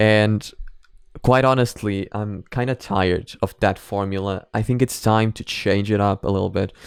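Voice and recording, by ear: A man with a fairly low voice talks at a moderate pace, his intonation fairly even and his tone clear and smooth with some vocal fry. The recording is very clean, with a silent background.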